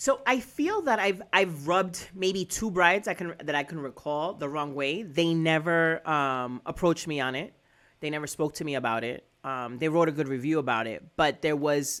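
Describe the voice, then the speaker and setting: On a very clean recording with a silent background, a woman with a very deep, low pitch talks in an energetic tone at a moderate pace, with ordinary pitch variation and hardly any pauses. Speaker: wedding planner. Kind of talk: casual chat. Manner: loud; hyper, energetic.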